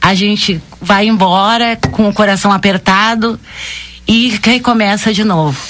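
Over noticeable background noise, a woman speaks fairly slowly at medium pitch, her intonation fairly even and her loudness very even. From southern Brazil, Rio Grande do Sul. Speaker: bank branch manager. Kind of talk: radio interview.

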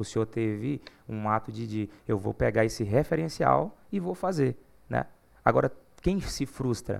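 Moving through very wide pitch swings, a man with a medium pitch speaks at a fairly slow pace. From Goiás, Brazil (Uruaçu). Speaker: gospel singer. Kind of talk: casual chat.

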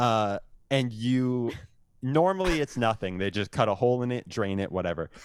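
Speaking at a moderate pace, a man has an unremarkable speaking voice at a medium pitch. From Windsor, Ontario, Canada. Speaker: musician and podcaster. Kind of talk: casual chat. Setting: video call.

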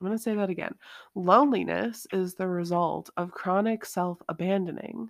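A woman with a normal speaking voice talks at medium pitch and a moderate pace, with ordinary pitch variation, in a very clean recording with a silent background. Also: dry, close sound with no echo. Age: 20s. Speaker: empowerment coach and podcast host. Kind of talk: solo podcast monologue. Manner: casual, conversational with fillers.

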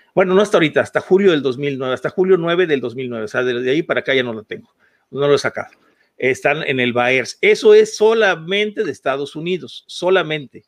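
A man with a fairly high pitch talks at a fairly quick pace with lively intonation. It is a normal speaking voice. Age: 50s. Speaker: podcast co-host. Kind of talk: heated debate.

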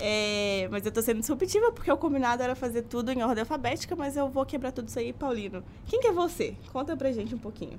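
Her pitch is high and her intonation lively. The woman talks very fast with hardly any pauses. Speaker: university student, podcast co-host. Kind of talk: casual chat. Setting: studio.

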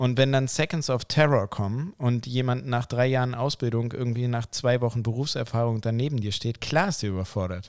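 In a very clean recording with a silent background, a man with a normal speaking voice talks at medium pitch and a fairly quick pace, using ordinary pitch variation and hardly any pauses. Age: 30s. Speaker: anesthesia clinician and podcast co-host. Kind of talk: casual chat.

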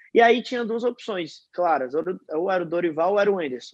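A man talks at a moderate pace with a high pitch and lively intonation. The sound is dry and close, with no echo. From Rio de Janeiro, Brazil. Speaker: football fan social media creator. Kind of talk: casual chat.

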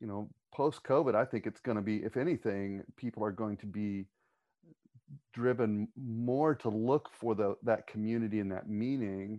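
A man with a plain, everyday voice, fairly low in pitch, at a moderate pace with fairly even intonation. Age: 40s. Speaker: church pastor. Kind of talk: casual panel discussion.

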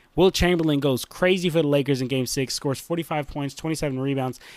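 A man speaks at a fairly high pitch with ordinary variation. The recording is very clean, with a silent background. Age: 20s. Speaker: basketball YouTuber. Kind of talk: casual vlog commentary. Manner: animated.

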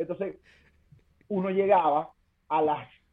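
Flat, monotone intonation at a moderate pace. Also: man. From Venezuela. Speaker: stand-up comedian. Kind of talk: casual chat.

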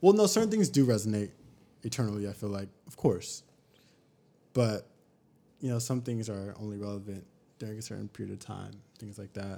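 Speaking with an American accent, a man with a fairly low pitch and a dark, mellow tone moves at a fairly quick pace, with ordinary pitch variation, big swings in loudness, and long, frequent pauses. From Sacramento, California. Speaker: podcast guest. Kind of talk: casual chat.

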